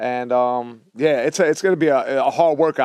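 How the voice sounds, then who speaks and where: A man with a New York accent speaks at a fairly quick pace with a fairly high pitch. The sound is dry and close, with no echo. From New York City, Lower East Side. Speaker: podcast host. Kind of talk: casual chat. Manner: animated.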